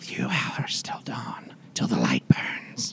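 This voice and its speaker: It's a whispered, put-on character voice. The pace is very slow. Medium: actual play. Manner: clipped broken grammar.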